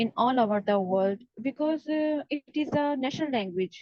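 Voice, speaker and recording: A woman with a Pakistani accent speaks in a high pitch. Her pace is fairly slow, with ordinary pitch variation. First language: Urdu. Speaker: exam practice student. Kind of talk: mock speaking exam. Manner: halting, many fillers.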